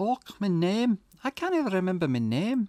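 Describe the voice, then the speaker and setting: A female-sounding voice puts on a gruff character voice in a Scottish accent. It is at a medium pitch and a moderate pace. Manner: confused, searching for a name.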